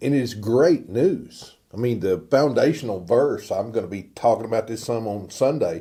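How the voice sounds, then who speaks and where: A man speaks with an American accent and a dark, mellow tone. His intonation is lively and his pace moderate. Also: very clean recording, silent background. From US South, Northeast Texas. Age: 60s. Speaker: pastor. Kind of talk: informal sermon. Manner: casual, conversational.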